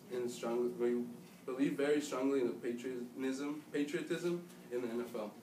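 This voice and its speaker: Light background noise and audible room echo accompany a man speaking with an American accent. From United States. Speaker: student giving class speech; presenter. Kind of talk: speech to an audience. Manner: halting. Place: classroom. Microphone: camera far.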